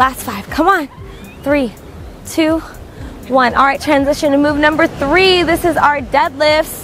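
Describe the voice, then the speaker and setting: High-pitched woman's voice at a moderate pace, ordinary pitch variation, dry sound with no echo, music in the background. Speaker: fitness instructor. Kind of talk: workout instruction. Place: beach. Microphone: lapel.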